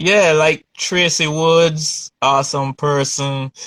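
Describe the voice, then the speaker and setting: A man with a Jamaican accent. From Jamaica, Kingston. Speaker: painter. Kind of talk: interview. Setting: video call.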